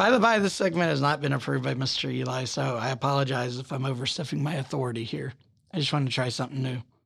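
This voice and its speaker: Speaking at a very fast pace, a man uses a medium pitch with ordinary pitch variation and an American accent. Vocal fry runs through his voice. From US South. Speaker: true crime podcast host, criminal defense attorney. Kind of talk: true crime storytelling. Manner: casual, joking.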